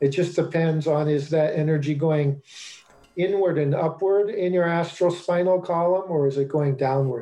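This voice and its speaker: An unremarkable speaking voice with an American accent. It moves at a moderate pace with fairly even intonation. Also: man, very even loudness. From US Mid-Atlantic, Washington DC / Maryland suburbs. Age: 60s. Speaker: astrologer. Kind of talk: interview.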